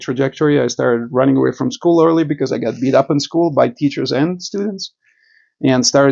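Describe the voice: Talking at a fairly quick pace, the voice carries vocal fry, a slightly mellow tone and fairly even intonation. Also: man.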